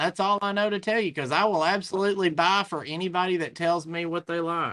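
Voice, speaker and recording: Speaking at a fairly quick pace in a Southern US accent, a man with a high pitch and bright, sharp tone keeps his intonation fairly even on a very clean recording with a silent background. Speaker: antiques dealer. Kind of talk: live sale.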